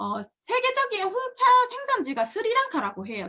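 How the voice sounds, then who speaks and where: A raised, projected woman's voice, bright and sharp in tone, with very wide pitch swings and a fairly slow pace. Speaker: product presenter. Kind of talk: product lecture. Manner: halting, many fillers and restarts.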